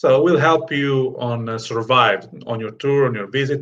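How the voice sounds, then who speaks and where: A man with an American accent at a moderate pace and medium pitch, a plain, everyday voice. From Sicily, Italy. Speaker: guest. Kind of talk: interview.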